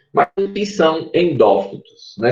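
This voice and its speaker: A man with a Pernambuco accent speaks in a somewhat breathy voice with lively intonation. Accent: Pernambuco accent, noticeable. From Pernambuco, Brazil. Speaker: university professor, mycologist. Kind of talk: online lecture.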